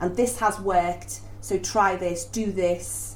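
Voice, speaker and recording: Amid noticeable background noise, a woman with a Liverpool accent speaks at a fairly slow pace. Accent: Scouse. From Liverpool, northern England. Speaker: stage actress. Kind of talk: casual interview chat. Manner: halting, many repetitions.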